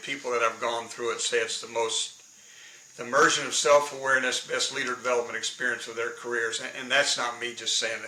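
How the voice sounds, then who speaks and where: A man at medium pitch and a fairly quick pace, with audible room echo and noticeable background noise. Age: 70s. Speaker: leadership consultant and professional speaker. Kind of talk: interview.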